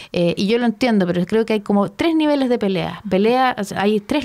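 Lively intonation marks a woman speaking fairly quickly at medium pitch in a Chilean accent. Noticeable background noise is present. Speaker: radio host and architecture academic. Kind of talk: casual interview chat.

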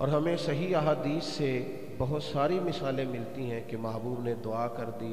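A man speaks at a fairly slow pace. There is audible room echo along with light background noise. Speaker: religious preacher. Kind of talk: sermon. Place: hall. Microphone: handheld.

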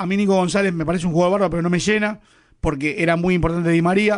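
A man with a high pitch and a Rioplatense accent, very fast pace and fairly even intonation. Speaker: football pundit. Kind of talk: radio football panel chat.

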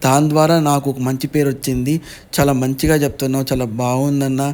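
A man's fairly high pitch in a monotone, flat intonation. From Andhra Pradesh, Atmakur. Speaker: vlogger. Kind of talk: casual vlog talk. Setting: on a vehicle with friends.

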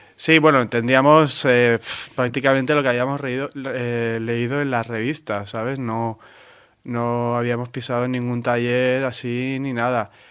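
Monotone, flat intonation at a fairly slow pace. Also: man, medium pitch for a man. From Valencia, Spain. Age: 30s. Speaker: artist. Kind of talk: interview.

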